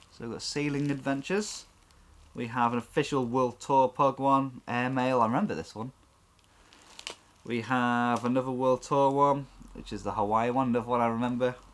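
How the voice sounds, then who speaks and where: A man with a British accent, medium pitch and fairly even intonation, at a moderate pace, with big swings in loudness. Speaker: toy unboxing youtuber. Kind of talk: casual unboxing chat.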